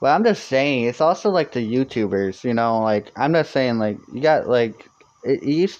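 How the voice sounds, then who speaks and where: A man with a medium pitch keeps a moderate pace and lively intonation. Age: 20s. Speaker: live streamer. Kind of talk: casual chat. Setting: live stream. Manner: halting.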